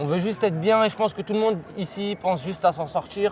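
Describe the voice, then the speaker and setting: Ordinary pitch variation runs through this man's speech. He keeps a fairly quick pace. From Paris, 19th arrondissement. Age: 20s. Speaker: young local resident interviewed. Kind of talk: street interview.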